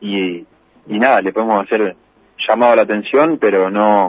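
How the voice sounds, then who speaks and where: Here a man talks at a fairly slow pace. His pitch is fairly low. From Argentina, Santa Fe province (Las Parejas). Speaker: racing driver. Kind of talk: interview. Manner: hesitant, with many fillers.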